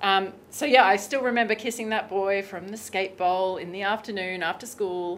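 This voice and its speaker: A woman with an Australian accent talks at a moderate pace with hardly any pauses. Her loudness swings a lot. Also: medium pitch for a woman, fairly even intonation. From Australia, Brisbane. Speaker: sex and pleasure coach. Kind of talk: casual interview.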